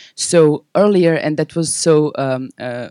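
In a Serbian accent, a woman speaks with a dark, mellow tone, the sound dry and close with no echo. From Serbia (Belgrade). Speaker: nonprofit founder and activist. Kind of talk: panel presentation.

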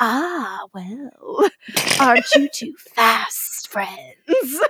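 A woman uses a put-on character voice, pitched high. She talks at a very slow pace. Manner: sinister, sarcastic.

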